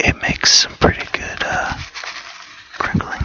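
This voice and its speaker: Whispering at a fairly slow pace, a man can be heard over noticeable background noise. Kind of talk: ASMR whispering and rambling. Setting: laptop microphone. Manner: whispered.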